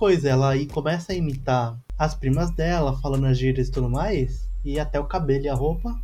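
Over music in the background, a man talks at a moderate pace with ordinary pitch variation and audible room echo. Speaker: podcast co-host. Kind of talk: casual chat.

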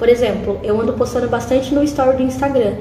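A fairly quick woman's voice, along with audible room echo and noticeable background noise. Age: 20s. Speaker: YouTuber. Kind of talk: casual interview.

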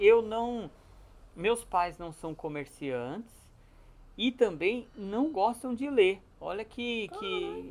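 Very slow delivery with long, frequent pauses. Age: 30s. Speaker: secondhand bookshop owner. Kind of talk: casual interview chat.

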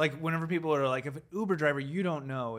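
Speaking at a fairly quick pace with a fairly high pitch, a man has a plain, everyday voice on a very clean recording with a silent background. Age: 30s. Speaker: podcast co-host. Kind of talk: casual chat.

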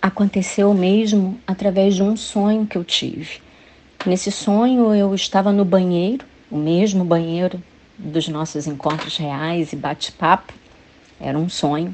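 At a fairly slow pace, a woman with an unremarkable speaking voice talks at a medium pitch with ordinary pitch variation. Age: 50s. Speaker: church women's ministry volunteer. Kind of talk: scripted testimony.

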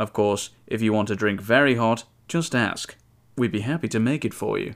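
On a very clean recording with a silent background, a man talks in a normal speaking voice at a moderate pace with ordinary pitch variation. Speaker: podcast host. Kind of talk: scripted narration reading reviews aloud.

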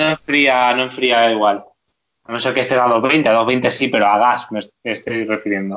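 A man with an ordinary speaking voice talks at a moderate pace and medium pitch, with fairly even intonation. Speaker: YouTuber, motorhome travel channel. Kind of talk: casual interview chat.

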